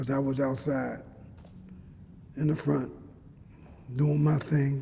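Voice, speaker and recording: A man speaks at a fairly high pitch with a dark, mellow tone. His voice is somewhat breathy, and there is audible room echo. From Philadelphia, North Philly. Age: 60s. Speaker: former jailhouse informant. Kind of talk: interview testimony. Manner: halting, repeats words.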